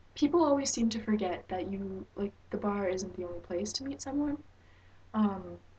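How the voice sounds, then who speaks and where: A woman at a medium pitch talks at a moderate pace, somewhat breathy, with lively intonation. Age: 19. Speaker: vlogger. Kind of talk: advice vlog. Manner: hesitant with fillers.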